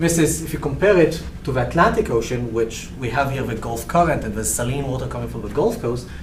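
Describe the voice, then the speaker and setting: A man with a slight Israeli accent talks at a very fast pace with hardly any pauses, with audible room echo and noticeable background noise. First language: Hebrew. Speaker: research professor. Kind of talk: lecture. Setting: seminar room, also broadcast online. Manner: halting.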